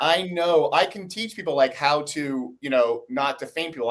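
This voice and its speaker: An unremarkable speaking voice from a man with an American accent, at a moderate pace with lively intonation. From United States. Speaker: investigative journalist. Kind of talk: interview.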